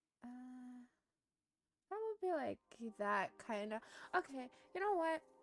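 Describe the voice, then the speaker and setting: A woman's high-pitched voice with very wide pitch swings, at a fairly slow pace. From Germany. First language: German. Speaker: streamer. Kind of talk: casual livestream chat with drawing tutorial. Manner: casual, self-deprecating, with many fillers.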